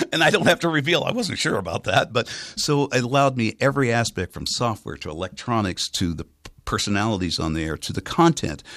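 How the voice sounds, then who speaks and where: A very fast-talking man with an American accent, medium pitch, vocal fry and very wide pitch swings, in a dry, close recording with no echo. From US West Coast, San Francisco Bay Area. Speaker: radio station manager. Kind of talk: interview. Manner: trained clear enunciation.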